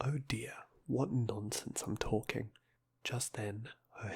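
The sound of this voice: An unforced reading voice is what this recording contains.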